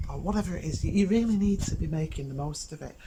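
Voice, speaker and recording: The voice is a woman's whisper. Behind it, background noise is noticeable. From England. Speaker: cooking show host. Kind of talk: cooking demonstration. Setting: outdoors in a garden. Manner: whispering a bit; hesitant, many fillers. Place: garden.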